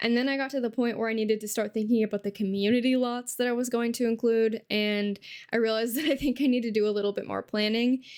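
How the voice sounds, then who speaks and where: A plain, everyday voice from a woman, fairly even in intonation, on a very clean recording with a silent background. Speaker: Sims gameplay content creator. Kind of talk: casual talk to camera.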